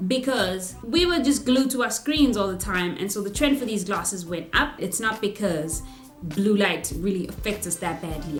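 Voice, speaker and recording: A woman at a medium pitch speaks with lively intonation while music plays in the background. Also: moderate pace. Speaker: product reviewer. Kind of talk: casual product review to camera.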